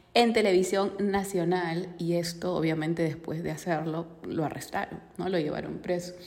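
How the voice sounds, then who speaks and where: A woman speaks at a fairly slow pace with a fairly low pitch. Noticeable background noise runs behind her. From Peru. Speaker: financial educator. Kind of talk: casual podcast monologue on finance and politics. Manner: conversational, frequent 'ok?' tags.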